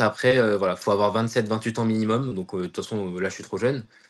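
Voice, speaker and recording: Talking at a very fast pace, the man has a fairly low pitch. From France, Seine-Saint-Denis (Paris suburbs). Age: 20s. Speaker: aerospace engineer. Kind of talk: interview testimony. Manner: hesitant, many fillers and repetitions; enthusiastic.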